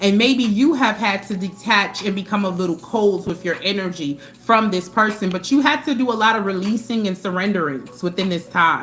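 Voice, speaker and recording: A woman talks with lively intonation and hardly any pauses. Music plays in the background. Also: medium pitch for a woman. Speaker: tarot reader. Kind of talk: live tarot reading. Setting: livestream. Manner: fast.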